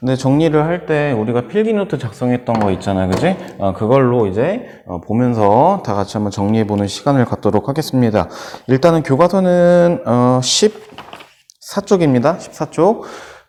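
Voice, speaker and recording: Noticeable background noise sits behind a man talking at a moderate pace. His medium-pitched voice moves in very wide pitch swings. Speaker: school science teacher. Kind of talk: lecture. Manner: hesitant fillers.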